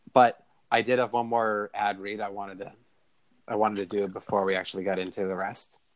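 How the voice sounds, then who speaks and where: Fairly quick, flat, monotone delivery from a man with a fairly low pitch. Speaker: podcast host. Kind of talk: casual chat.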